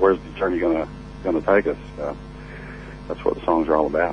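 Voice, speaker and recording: Against music in the background, a voice with an American accent speaks at a very fast pace, broken by long, frequent pauses. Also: man. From United States, small country town. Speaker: country singer. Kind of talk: radio interview. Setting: phone call. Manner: halting, many fillers.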